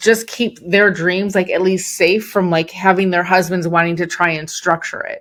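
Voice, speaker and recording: In a Chicago accent, this voice moves at a moderate pace with fairly even intonation on a very clean recording with a silent background. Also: woman. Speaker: entrepreneur and business coach. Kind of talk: podcast interview.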